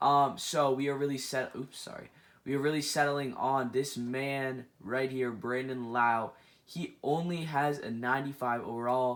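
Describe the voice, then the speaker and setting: A man talks at a medium pitch with fairly even intonation on a very clean recording with a silent background. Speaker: gaming and baseball video creator. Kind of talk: casual commentary video. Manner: fast; hesitant with many fillers.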